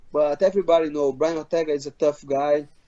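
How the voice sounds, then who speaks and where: With a non-native accent, a man speaks at a moderate pace and a fairly high pitch. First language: Portuguese. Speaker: MMA fighter. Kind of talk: interview. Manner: halting, many repeats.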